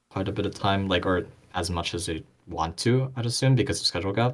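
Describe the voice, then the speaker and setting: With a non-native accent, a man talks at a very fast pace in a fairly low pitch, with ordinary pitch variation. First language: not English. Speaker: esports podcast commentator. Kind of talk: casual chat. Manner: halting.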